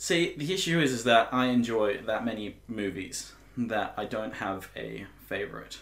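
Audible room echo surrounds a man speaking at a medium pitch and moderate pace with lively intonation. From Finland. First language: Finnish. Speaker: guest youtuber. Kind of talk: casual chat.

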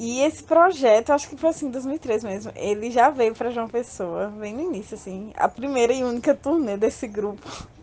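Over noticeable background noise, a woman with a high pitch speaks with lively intonation and big swings in loudness. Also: moderate pace. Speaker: interviewed fan. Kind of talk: personal storytelling.

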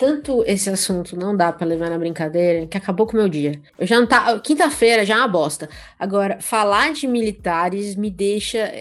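A woman's ordinary speaking voice, at a moderate pace with lively intonation, on a very clean recording with a silent background. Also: medium pitch for a woman, hardly any pauses. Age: 30s. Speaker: podcast host. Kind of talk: casual chat.

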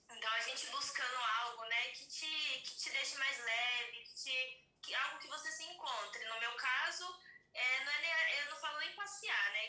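A woman's high, raised, projected voice at a moderate pace, with lively intonation and big swings in loudness, audible room echo, and music in the background. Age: 30s. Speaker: podcast guest. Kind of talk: casual chat.

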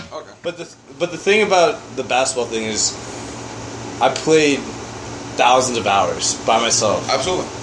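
Over noticeable background noise, a man of medium pitch talks at a moderate pace with very wide pitch swings and long, frequent pauses. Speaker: podcast co-host. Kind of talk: casual banter among friends.

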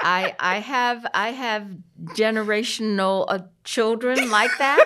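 Over a silent background on a very clean recording, an American-accented woman with fairly high pitch and ordinary pitch variation speaks at a very slow pace. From US South, Columbia, South Carolina. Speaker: city mayor. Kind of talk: interview.

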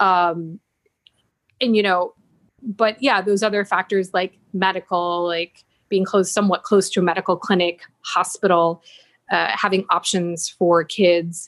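In a Great Lakes accent, someone talks at a fairly slow pace with monotone, flat intonation and very even loudness, the sound dry and close with no echo on a very clean recording with a silent background. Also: woman, medium pitch for a woman. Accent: American, Great Lakes. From US, Buffalo, New York. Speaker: real estate business owner. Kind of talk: interview.

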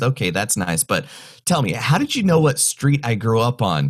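Speaking at a moderate pace with an American accent, a man has a medium-pitched, somewhat breathy voice. The recording is very clean with a silent background. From North Carolina mountains. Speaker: mentalist, stage magician. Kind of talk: interview, casual chat.

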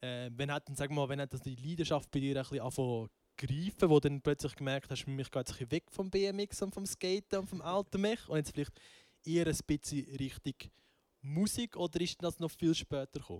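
With a dry, close sound and no echo, a man speaks at a fairly high pitch and a moderate pace, with ordinary pitch variation. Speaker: podcast host. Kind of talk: casual chat. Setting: band rehearsal room.

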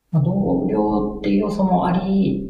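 A man's voice at a fairly slow pace, with very wide pitch swings and audible room echo. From Aichi, Japan. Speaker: freelance web marketer and blogger. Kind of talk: casual interview.

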